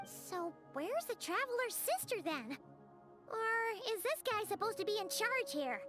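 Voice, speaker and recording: A put-on character voice at an extremely high pitch talks at a moderate pace. Clear music plays in the background. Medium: video game. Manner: inquisitive.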